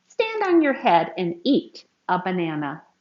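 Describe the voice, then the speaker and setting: Putting on a character voice, a woman speaks at a medium pitch. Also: moderate pace. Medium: read story.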